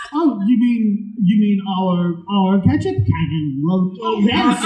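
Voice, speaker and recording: Putting on a character voice at a high pitch, a man speaks at a fairly slow pace amid clear background noise. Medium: actual play. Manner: hesitant, stammering.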